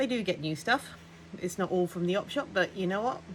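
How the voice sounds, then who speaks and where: A woman speaks at a medium pitch with ordinary pitch variation. Vocal fry runs through her voice. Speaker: thrift vlogger. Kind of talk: casual haul vlog. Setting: at home. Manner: fast.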